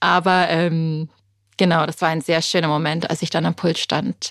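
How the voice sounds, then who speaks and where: Recorded very cleanly against a silent background, a woman talks at a fairly quick pace with a fairly low pitch. She has an unremarkable speaking voice. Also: dry, close sound with no echo. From Britain. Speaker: funeral speaker and journalist. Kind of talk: interview conversation.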